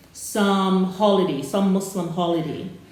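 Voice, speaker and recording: A woman talks at a fairly slow pace and medium pitch. Audible room echo and noticeable background noise surround her voice. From Sierra Leone (born in Ghana). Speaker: YouTube reaction show co-host. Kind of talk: casual chat.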